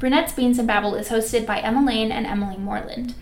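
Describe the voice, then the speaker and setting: A high-pitched woman with an American accent, amid noticeable background noise and audible room echo. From Minnesota, US Midwest. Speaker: podcast co-host. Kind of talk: casual chat; scripted outro.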